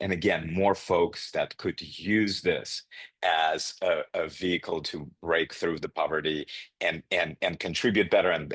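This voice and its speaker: A man speaks with a non-native accent. The sound is dry and close, with no echo. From immigrant to the US as refugee. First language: not English. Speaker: nursing education executive. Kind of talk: podcast interview.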